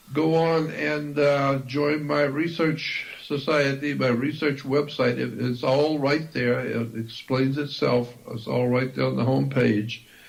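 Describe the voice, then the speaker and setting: There is audible room echo and noticeable background noise as a man talks at a fairly slow pace. His pitch is fairly high and his intonation fairly even. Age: 70s. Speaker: esoteric researcher and author. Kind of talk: interview.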